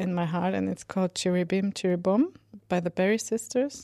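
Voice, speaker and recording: Recorded very cleanly against a silent background, a woman with a Swedish accent speaks at medium pitch in a dark, mellow tone with ordinary pitch variation. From Sweden. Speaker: composer. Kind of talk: casual monologue. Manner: halting.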